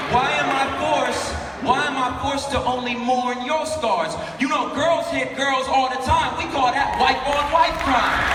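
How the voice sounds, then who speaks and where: Amid noticeable background noise, a man with an extremely high pitch speaks at a fairly slow pace with ordinary pitch variation. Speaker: spoken word artist. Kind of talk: live spoken word poetry performance. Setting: live conference stage.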